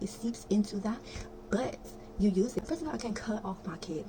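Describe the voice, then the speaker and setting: A woman whispers at a moderate pace, with background noise clearly present. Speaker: spiritual content creator. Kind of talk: casual vlog monologue. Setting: bedroom at night. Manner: whispering.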